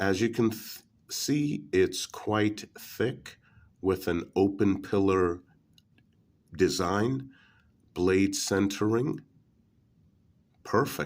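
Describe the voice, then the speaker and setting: On a very clean recording with a silent background, a man at a fairly low pitch speaks at a very slow pace with long, frequent pauses and ordinary pitch variation. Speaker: knife reviewer. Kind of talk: product review.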